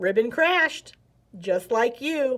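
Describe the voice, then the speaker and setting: Putting on a character voice, a woman speaks high-pitched with very wide pitch swings. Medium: read story.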